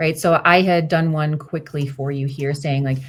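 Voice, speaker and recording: Speaking at a moderate pace, a woman has a fairly low pitch, a somewhat breathy sound and fairly even intonation. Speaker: career coach. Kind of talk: one-on-one coaching call.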